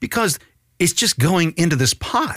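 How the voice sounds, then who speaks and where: A man with a fairly high pitch and vocal fry talks at a moderate pace in a dry, close sound with no echo. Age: 50s. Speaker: political podcast host. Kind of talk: political commentary podcast. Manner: animated.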